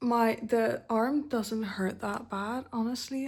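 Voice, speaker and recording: A soft-spoken woman, fairly high in pitch and somewhat breathy, with monotone, flat intonation. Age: 20s. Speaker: vlogger. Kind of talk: personal vlog.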